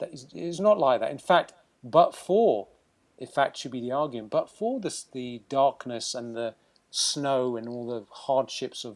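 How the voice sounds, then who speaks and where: A man with a British accent speaks at a moderate pace in a fairly high pitch, recorded very cleanly against a silent background. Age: 50s. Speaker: surgeon. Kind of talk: interview.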